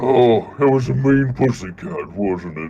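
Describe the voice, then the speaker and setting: A man uses a put-on character voice. His pitch is medium and his pace fairly slow. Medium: actual play. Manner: soft, worried, affectionate.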